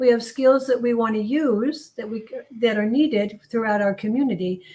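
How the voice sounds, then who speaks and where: At a moderate pace, a woman with a fairly high pitch and a dark, mellow tone talks with ordinary pitch variation. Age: old. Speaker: volunteer. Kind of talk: interview.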